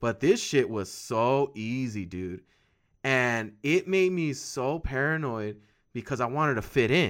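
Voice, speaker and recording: Heard on a very clean recording with a silent background, a man with an American accent and medium pitch uses lively intonation in a plain, everyday voice. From Southern California, Inland Empire. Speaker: podcast host. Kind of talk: casual chat.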